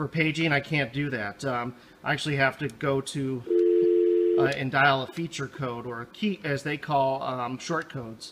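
A man speaking at a fairly slow pace over loud background noise. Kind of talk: product demo tutorial. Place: office. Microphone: phone near.

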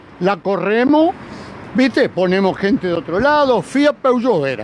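A man talks in an animated tone with lively intonation. The sound is dry with no echo, over light background noise. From Argentina. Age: 80s+. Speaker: street interviewee; interviewee. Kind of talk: street interview. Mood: agitated, argumentative. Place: street. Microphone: handheld.

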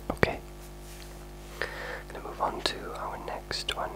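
A man whispers. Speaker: ASMR creator. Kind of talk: ASMR video, casual talk to camera. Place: home room. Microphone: studio mic.

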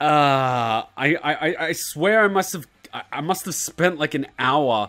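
Music sounds faintly behind the voice. The speaker is a man. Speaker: gaming video creator. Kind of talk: casual commentary to camera. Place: home room. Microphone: studio mic.

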